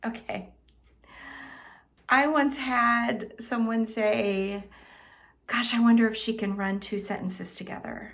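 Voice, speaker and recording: A quiet voice moves at a fairly slow pace with fairly even intonation and long, frequent pauses, while audible room echo surrounds it. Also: woman, fairly high pitch for a woman. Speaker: health and wellness coach. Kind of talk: self-introduction to camera. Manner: pauses, lets there be quiet.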